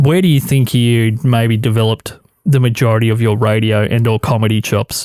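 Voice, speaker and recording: Keeping a very even loudness and fairly even intonation, a man with an Australian accent and medium pitch speaks at a fairly quick pace. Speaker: podcast host. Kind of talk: casual chat. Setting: radio studio. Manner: slightly louder when recording.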